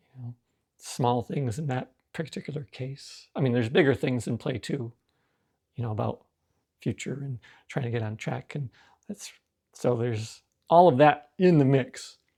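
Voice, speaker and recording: A man's dark, mellow, somewhat breathy voice at a moderate pace, with ordinary pitch variation, big swings in loudness, long, frequent pauses and a dry, close sound with no echo. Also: medium pitch for a man. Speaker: self-help vlogger on anxiety. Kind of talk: personal reflective monologue. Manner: halting, self-correcting.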